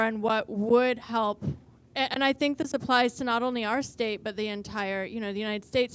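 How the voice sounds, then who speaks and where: A woman's fairly high voice at a fairly quick pace, with fairly even intonation, over a very clean recording and a silent background. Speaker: audience member. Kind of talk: audience question. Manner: loud.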